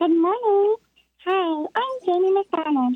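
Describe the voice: Squeaky and extremely high in pitch, a put-on character voice moves at a fairly slow pace.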